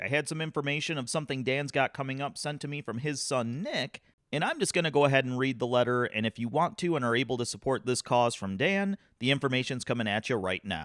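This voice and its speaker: An ordinary speaking voice with an American accent moves at a fairly quick pace with hardly any pauses, on a very clean recording with a silent background. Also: man. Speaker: podcast host. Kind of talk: podcast announcements and sponsor read. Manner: casual, conversational.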